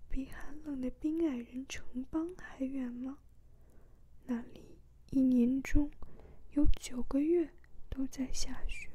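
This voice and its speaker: The tone is calm and the pace very slow. Long pauses come often. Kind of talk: ASMR book reading, soft-spoken. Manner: soft, calm, slow reading.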